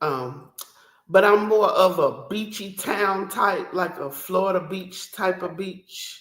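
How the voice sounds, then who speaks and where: In a Southern accent, a woman talks very slowly at a medium pitch with ordinary pitch variation. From Atlanta, Georgia. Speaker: artist. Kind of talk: casual chat.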